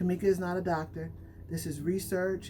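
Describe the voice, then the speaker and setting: This woman has a fairly low pitch and talks at a moderate pace. Music plays in the background. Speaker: hair care brand owner and YouTuber. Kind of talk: casual tutorial vlog. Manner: off the cuff, unscripted.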